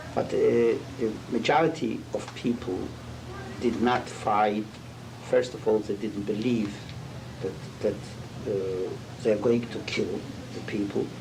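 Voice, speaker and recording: Through audible room echo and noticeable background noise, a man talks at a medium pitch and a fairly slow pace, with fairly even intonation and long, frequent pauses. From Poland. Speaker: Holocaust survivor and rabbi. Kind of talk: interview testimony. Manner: halting.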